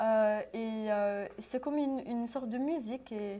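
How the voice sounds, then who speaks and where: A woman with a fairly high pitch speaks at a very slow pace. Her tone is dark and mellow, in a very clean recording with a silent background. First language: English (speaking French). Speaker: translation student and musician. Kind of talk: interview. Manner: halting.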